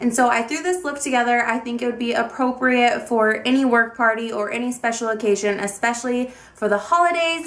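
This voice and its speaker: A high-pitched woman talking with hardly any pauses over noticeable background noise. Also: ordinary pitch variation, fairly quick pace. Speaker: beauty vlogger. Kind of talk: video intro.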